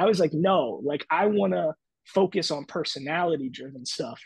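A high-pitched man with an American accent, ordinary pitch variation, a dry sound with no echo, and a quiet background. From Philadelphia area / South Jersey; Philadelphia. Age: 30s. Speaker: TV sports host and former stand-up comedian; TV sports host, former stand-up comedian. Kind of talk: casual interview chat. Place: home room.

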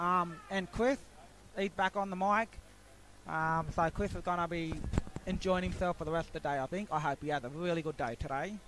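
Delivered at a moderate pace, the speech carries an Australian accent and ordinary pitch variation. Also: man. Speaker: sports commentator. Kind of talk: live commentary.

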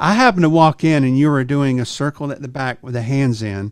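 A man talks with ordinary pitch variation, and the background stays quiet. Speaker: podcast host. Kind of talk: interview question and story. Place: studio. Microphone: studio mic.

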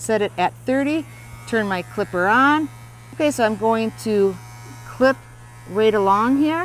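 With an American accent, a woman talks at a fairly slow pace with long, frequent pauses, the sound dry with no echo and light background noise behind her. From US Midwest, Wisconsin. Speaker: horse riding instructor and equestrian; horse riding instructor. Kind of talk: product demonstration. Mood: calm, gentle. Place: open country.

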